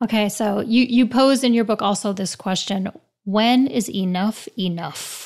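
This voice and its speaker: Here is a woman with a plain, everyday voice and an American accent. She speaks fairly slowly at a fairly high pitch, with ordinary pitch variation. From New York. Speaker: company CEO interviewer. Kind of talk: interview conversation.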